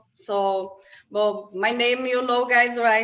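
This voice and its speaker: A woman's fairly high voice with fairly even intonation and audible room echo. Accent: non-native. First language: not English. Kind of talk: casual interview chat. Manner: halting.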